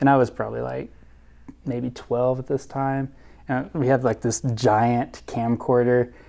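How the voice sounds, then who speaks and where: Speaking at a fairly slow pace, a man with an American accent has a medium-pitched voice and a dark, mellow tone. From US South. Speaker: youtuber. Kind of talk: testimony interview. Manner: casual, animated.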